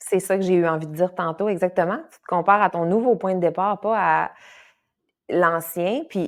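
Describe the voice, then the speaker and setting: A fairly low-pitched woman's voice with ordinary pitch variation comes through on a very clean recording against a silent background. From Quebec, Saguenay. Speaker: kinesiologist and yoga teacher. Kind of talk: casual podcast interview. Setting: podcast recording. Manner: animated, with frequent fillers and repetitions.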